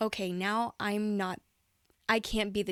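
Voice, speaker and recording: The recording is very clean, with a silent background and a dry, close sound with no echo, as a woman at medium pitch speaks at a fairly slow pace with fairly even intonation. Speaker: singer and stage actress. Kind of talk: interview conversation.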